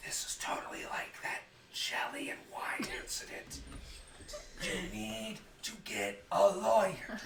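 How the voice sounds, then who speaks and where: A put-on character voice, whispering at a fairly slow pace. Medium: actual play.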